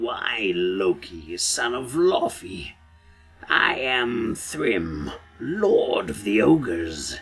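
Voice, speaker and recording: A put-on, raspy character voice at a very slow pace, with faint music in the background. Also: man, medium pitch for a man. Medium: read story. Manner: smug, chuckling.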